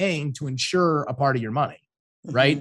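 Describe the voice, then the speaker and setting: In a very clean recording with a silent background, a man speaks very fast in an enthusiastic tone, somewhat breathy, at a fairly high pitch. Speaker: financial advisor. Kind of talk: podcast interview.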